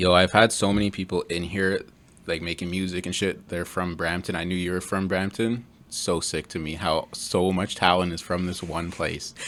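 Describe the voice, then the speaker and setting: A very clean recording with a silent background: a man's very deep, low voice with a Toronto accent, monotone, flat intonation and a moderate pace. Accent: Canadian English (Greater Toronto Area). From Ontario, Canada (Mississauga). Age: 20s. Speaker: podcast host. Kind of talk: casual chat.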